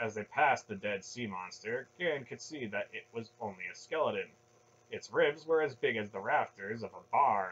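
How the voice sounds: Natural voice, reading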